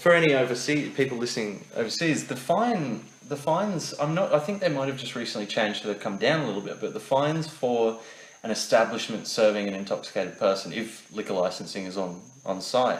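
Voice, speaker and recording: A man with an Australian accent and very wide pitch swings, amid noticeable background noise and audible room echo. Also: medium pitch for a man, fairly quick pace. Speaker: podcast co-host. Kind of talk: casual chat.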